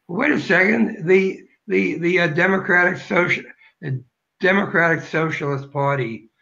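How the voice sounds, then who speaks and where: Bright and sharp in tone, a man's voice moves at a moderate pace with lively intonation. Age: 70s. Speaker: political candidate. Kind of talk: interview.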